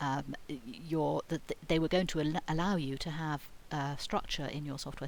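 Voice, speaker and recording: Speaking at a moderate pace with a British accent, a woman has a very deep, low pitch, and audible room echo surrounds her voice. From Britain. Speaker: university lecturer. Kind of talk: lecture. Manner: hesitant, many fillers and false starts.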